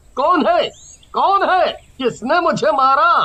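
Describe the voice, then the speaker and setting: In a cartoonish character voice, a man speaks at an extremely high pitch. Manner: startled, frightened.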